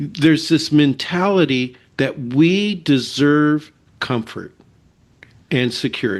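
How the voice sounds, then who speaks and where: Against a quiet background, a man with an American accent and a fairly high pitch speaks at a very slow pace with ordinary pitch variation. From California. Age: 70s. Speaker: faith ministry leader and researcher. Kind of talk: interview testimony.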